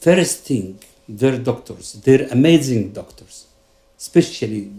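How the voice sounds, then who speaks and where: A man with a medium-pitched voice, somewhat breathy and dark, mellow in tone. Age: 60s. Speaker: psychiatrist and patient giving testimonial. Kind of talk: testimony.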